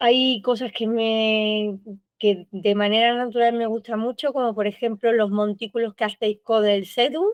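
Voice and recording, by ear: Fairly high-pitched, a woman speaks at a moderate pace with fairly even intonation. The sound is dry and close, with no echo.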